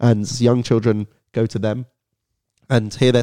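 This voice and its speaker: In a London accent, a man with a fairly low, dark, mellow voice speaks in a flat monotone, the sound dry and close with no echo on a very clean recording with a silent background. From London, England. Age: 19. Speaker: student and Holocaust educator. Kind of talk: podcast interview.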